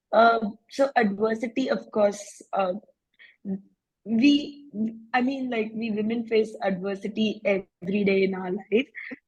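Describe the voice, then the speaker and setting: Somewhat breathy and fairly high-pitched, a woman speaks at a fairly slow pace with ordinary pitch variation and long, frequent pauses. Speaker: financial educator. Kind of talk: networking circle introduction.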